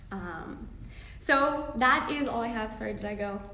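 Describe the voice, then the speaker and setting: Lively intonation amid noticeable background noise and audible room echo. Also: woman. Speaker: registered dietitian. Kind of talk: live-streamed health talk. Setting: live video stream.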